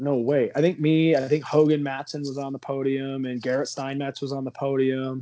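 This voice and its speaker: A man talks at a moderate pace with hardly any pauses, his intonation monotone and flat. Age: 30s. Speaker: mountain bike racer. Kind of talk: casual chat.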